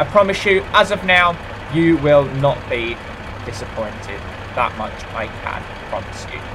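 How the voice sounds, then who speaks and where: The speech has big swings in loudness and long, frequent pauses. Noticeable background noise is present. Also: man. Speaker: gaming YouTuber. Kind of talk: gameplay commentary. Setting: home recording. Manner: rambling, hesitant.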